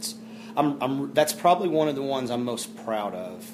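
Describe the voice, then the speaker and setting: There is noticeable background noise. Over it, a man talks in a Texas accent. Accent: Texas drawl. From Texas, Fort Worth. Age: 30s. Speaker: country singer-songwriter. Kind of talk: interview. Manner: halting.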